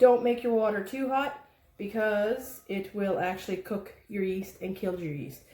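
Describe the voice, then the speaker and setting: Amid noticeable background noise, a woman at a medium pitch speaks at a fairly slow pace with ordinary pitch variation. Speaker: home baking instructor. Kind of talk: cooking tutorial. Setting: home kitchen. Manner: casual, chatty.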